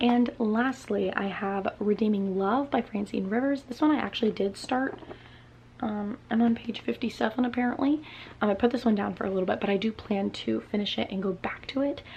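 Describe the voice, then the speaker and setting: A soft-spoken woman, fairly high in pitch, with ordinary pitch variation and a fairly quick pace. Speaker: booktuber. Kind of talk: casual chat. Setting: home, at night.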